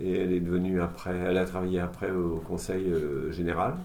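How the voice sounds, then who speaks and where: The voice has a dark, mellow tone and fairly even intonation. Room echo is audible. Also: man. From Normandy, France (Duclair, near Rouen). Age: 60s. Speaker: retired shipyard draughtsman. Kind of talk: oral history interview. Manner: hesitant, many fillers.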